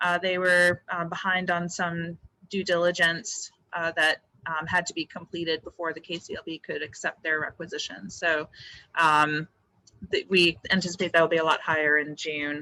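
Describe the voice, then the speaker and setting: Loud and flat in a monotone, a woman with a fairly low pitch speaks at a moderate pace, the sound dry and close with no echo. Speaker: land bank board member. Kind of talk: public board meeting report. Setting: public meeting room. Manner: halting, many fillers.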